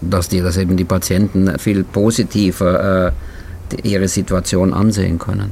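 Noticeable background noise sits behind a man speaking at a moderate pace with a very deep, low pitch, very even loudness and a monotone, flat intonation. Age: 70s. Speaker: podcast host and patient advocate. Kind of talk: casual interview chat. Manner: halting.

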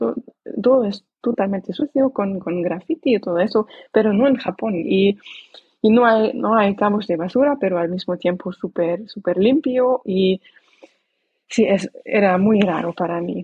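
Speaking with a non-native accent, a woman uses a medium pitch and ordinary pitch variation. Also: fairly slow pace. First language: not Spanish (speaking Spanish). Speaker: language learner and traveler. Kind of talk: interview. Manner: halting.

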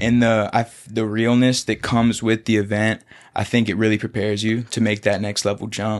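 Against a quiet background, a man with an American accent talks at a fairly quick pace in a fairly low pitch, his intonation monotone and flat. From US South, Florida Panhandle (Pace, Pensacola). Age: 20s. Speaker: MMA fighter. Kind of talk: casual chat. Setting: studio.

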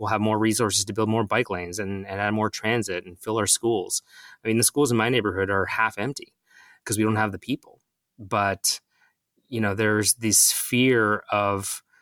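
A man with a Canadian accent speaks at a moderate pace in a fairly low, bright, sharp voice with monotone, flat intonation, recorded very cleanly against a silent background with a dry, close sound and no echo. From Ontario, Mississauga. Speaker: city councillor. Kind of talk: interview.

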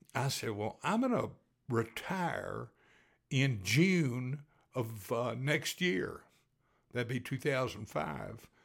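With an American accent and vocal fry, a man at medium pitch speaks very slowly with lively intonation and long, frequent pauses on a very clean recording with a silent background. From Texas. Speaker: podcast storyteller. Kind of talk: storytelling, casual personal anecdote. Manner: casual, conversational, folksy with filler words.

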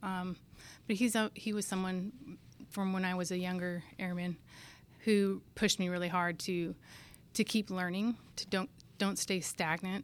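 A woman with a West Coast accent speaks at a moderate pace and medium pitch, her intonation fairly even, with long, frequent pauses, on a very clean recording with a silent background. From Northern California. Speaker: air force maintenance inspector. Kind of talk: interview.

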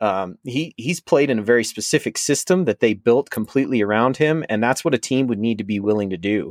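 Here is a man with an ordinary speaking voice at medium pitch, talking at a fairly quick pace with hardly any pauses. His intonation is lively, and the sound is dry and close with no echo. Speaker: podcast host, fantasy analyst. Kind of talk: casual chat.

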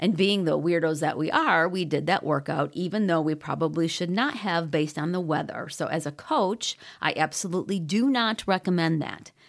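An ordinary speaking voice at a moderate pace with hardly any pauses and ordinary pitch variation, on a very clean recording with a silent background. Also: woman, fairly low pitch for a woman. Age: 50s. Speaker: running coach and podcast host. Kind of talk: solo podcast talk.

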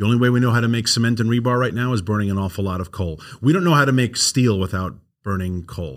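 A man in a strong New York accent, medium pitch, ordinary pitch variation, fairly quick pace, very clean recording, silent background. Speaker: energy advocacy nonprofit founder.

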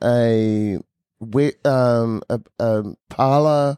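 This man's voice sits at a medium pitch with ordinary pitch variation and a dark, mellow tone, captured dry and close with no echo. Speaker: podcast host. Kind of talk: casual interview chat.

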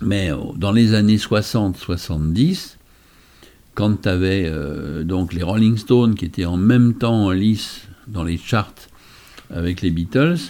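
With ordinary pitch variation, a man talks in a fairly low register. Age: 60s. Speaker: magician. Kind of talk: casual chat.

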